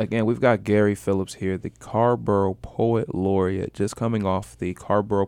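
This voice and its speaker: In a quiet background, a man talks at a moderate pace with hardly any pauses, using a normal speaking voice. His pitch is fairly low and his intonation fairly even. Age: 30s. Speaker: radio host. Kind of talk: casual chat. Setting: studio.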